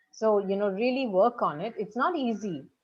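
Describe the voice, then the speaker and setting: A woman with a fairly high pitch talks at a moderate pace with lively intonation. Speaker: actress and audiobook narrator. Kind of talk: interview.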